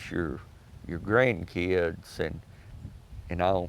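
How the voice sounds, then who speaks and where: A man with a Texas accent talks at a fairly slow pace with ordinary pitch variation. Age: 70s. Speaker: oral history interviewee. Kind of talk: interview. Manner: halting.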